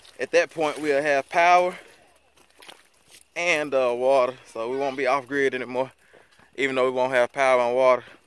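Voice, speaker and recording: The speech moves at a moderate pace with fairly even intonation and long, frequent pauses. The sound is dry, with no echo. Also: man. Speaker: homesteader vlogger. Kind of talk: casual vlog chat. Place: open country. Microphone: phone near.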